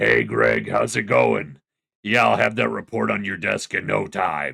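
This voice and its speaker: Using a put-on character voice, a man speaks at a moderate pace with a raspy, very deep, low pitch. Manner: speaking like the wolf.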